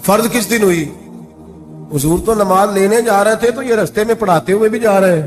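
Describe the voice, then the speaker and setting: Over music in the background, a man speaks at a high pitch for a man. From Pakistan. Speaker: Islamic preacher giving a sermon. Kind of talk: religious sermon (bayan) in Urdu. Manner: emotional, storytelling, rhetorical questions to audience.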